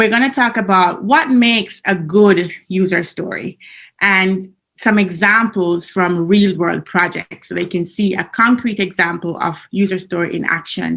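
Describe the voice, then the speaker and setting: With a Jamaican accent, a woman talks at a fairly slow pace in a medium pitch with ordinary pitch variation. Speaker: business analyst trainer. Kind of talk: conference presentation. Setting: video call from home basement.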